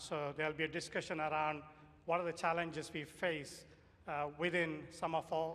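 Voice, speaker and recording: A man's fairly high voice, flat and monotone. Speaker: professor of security engineering, workshop moderator. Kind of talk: conference presentation. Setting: conference workshop with audience and microphone. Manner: loud.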